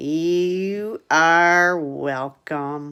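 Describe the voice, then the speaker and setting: A woman in a put-on character voice, pitched fairly low. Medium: read story. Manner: calm, deadpan.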